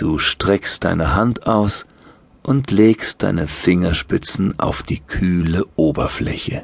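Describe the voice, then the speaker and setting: A man with a very deep, low pitch speaks at a very slow pace in a calm, soothing tone. His pitch varies in an ordinary way. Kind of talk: guided meditation. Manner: slow, calm, soothing.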